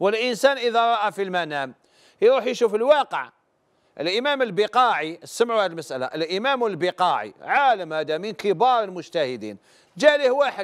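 Over a quiet background, a man with a high pitch talks in very wide pitch swings. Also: moderate pace. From Algeria. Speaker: religious scholar answering questions. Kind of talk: religious advice call-in show. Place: studio. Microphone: lapel.

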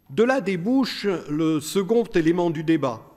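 A man talks very slowly at a high pitch, his intonation lively. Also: quiet background. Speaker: law professor. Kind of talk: conference speech. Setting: stage with audience. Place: hall. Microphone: podium.

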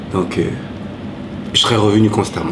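A man talks with noticeable background noise in the clip. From Ivory Coast, then Paris suburbs from age 8. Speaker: cook and former rapper; interviewee. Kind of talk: interview. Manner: halting. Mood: relaxed, reflective storytelling. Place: home room.

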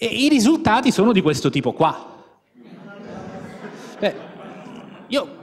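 A man talks with very wide swings in pitch. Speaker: university professor on a panel; conference speaker. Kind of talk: panel talk with slides. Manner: fast; informal, with many fillers. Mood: ironic, conversational. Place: hall. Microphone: handheld.

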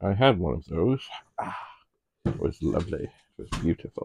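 A man speaks at a moderate pace in a dark, mellow tone. The sound is dry with no echo, and there is light background noise. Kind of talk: casual vlog chat. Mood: relaxed, chatty. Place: home room.

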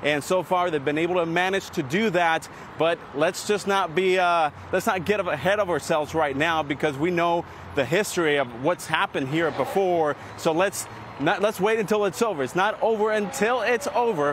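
A man speaks in an animated tone with a high pitch and ordinary pitch variation, at a moderate pace. The sound is dry with no echo, and there is noticeable background noise. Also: very even loudness. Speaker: field reporter. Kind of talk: live on-location sports report. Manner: animated, fluent, occasional hesitations. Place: street.

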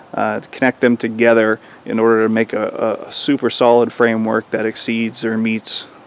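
The sound of this man's voice is dry, with no echo. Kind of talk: casual vlog explanation. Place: open country. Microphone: phone near.

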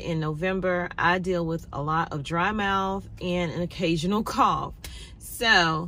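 A woman with a bright, sharp tone at a fairly slow pace, in a dry sound with no echo. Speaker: vlogger. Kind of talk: casual vlog chat. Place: car. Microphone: phone near.

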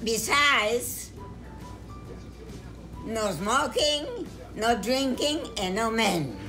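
A woman speaks in a fairly high voice at a very slow pace, with long, frequent pauses. Clear music plays in the background. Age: 80s+. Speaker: centenarian grandmother. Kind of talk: home video interview answer. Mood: cheerful, joking. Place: home room.

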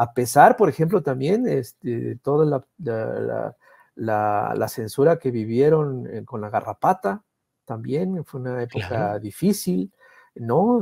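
A man speaks at a very slow pace in a dark, mellow tone. The sound is dry with no echo, and the background is quiet. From Veracruz, Mexico. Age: middle-aged. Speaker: political cartoonist; guest. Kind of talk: conversational interview. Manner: halting, many repetitions. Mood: warm, reflective tribute. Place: home room. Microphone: earbuds.

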